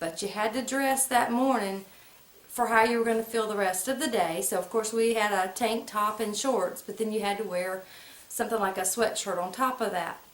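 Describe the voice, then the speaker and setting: Heard with audible room echo, the speaker uses fairly even intonation at a moderate pace in an American accent. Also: woman, fairly high pitch for a woman. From US South, central North Carolina (Moore/Lee County). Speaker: vlogger. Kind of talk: casual storytelling monologue. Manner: conversational, folksy vernacular.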